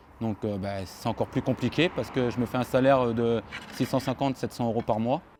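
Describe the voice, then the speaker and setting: Music plays in the background as a man talks at a fairly quick pace. His pitch is medium and his intonation fairly even. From France, Paris suburbs. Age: 30s. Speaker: construction laborer. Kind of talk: interview.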